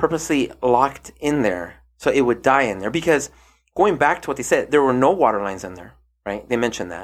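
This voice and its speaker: At a fairly quick pace, a man with a medium pitch makes very wide pitch swings on a very clean recording with a silent background. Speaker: podcast host. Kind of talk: casual podcast chat reviewing a TV docuseries.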